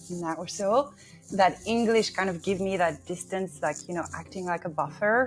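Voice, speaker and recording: Over background music, a woman with a French accent speaks at a moderate pace and a fairly low pitch. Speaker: bilingual team member. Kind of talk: interview answers.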